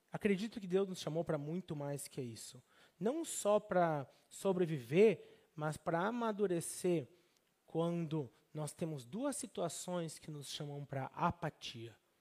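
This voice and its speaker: A man with a Brazilian accent talks at a high pitch with lively intonation. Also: fairly slow pace. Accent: Brazilian, noticed abroad. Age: 30s. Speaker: pastor and missionary. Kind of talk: sermon.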